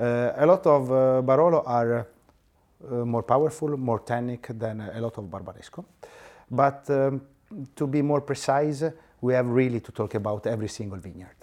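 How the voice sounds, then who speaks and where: A man with an Italian accent speaks at medium pitch and a moderate pace, with ordinary pitch variation and big swings in loudness. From Italy, Piedmont. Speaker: winemaker. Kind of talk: casual chat. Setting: restaurant.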